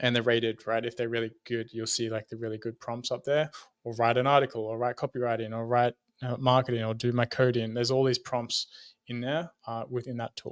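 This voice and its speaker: A man's medium-pitched, monotone, flat delivery with an Australian accent, dry and close with no echo. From Sydney, Australia. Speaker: brand designer and consultant. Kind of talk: podcast interview.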